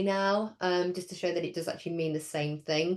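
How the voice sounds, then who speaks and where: Over a quiet background, a woman with an English accent speaks at a fairly low pitch. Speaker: speech and language therapy lecturer. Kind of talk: training webinar. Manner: hesitant with many fillers.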